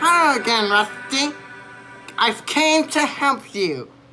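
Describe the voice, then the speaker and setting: A female-sounding, high-pitched put-on character voice speaks at a fairly slow pace over clear music in the background. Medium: machinima. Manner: polite, slightly hesitant.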